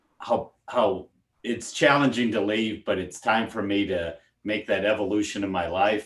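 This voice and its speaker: A man's ordinary speaking voice, fairly low in pitch, with fairly even intonation and a fairly slow pace, on a very clean recording with a silent background. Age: 60s. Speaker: deacon. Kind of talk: casual chat.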